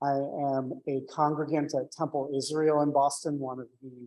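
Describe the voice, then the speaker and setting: This man speaks at a fairly high pitch and a moderate pace. His intonation is monotone and flat. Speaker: tenant organizer, congregant. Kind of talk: public talk at forum. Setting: community forum in church hall, hybrid with Zoom. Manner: loud.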